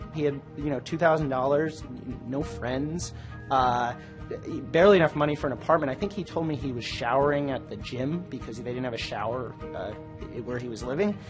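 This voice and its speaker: Over music in the background, a man talks at a fairly quick pace with a fairly high pitch and ordinary pitch variation. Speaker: technology and business journalist. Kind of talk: interview answer.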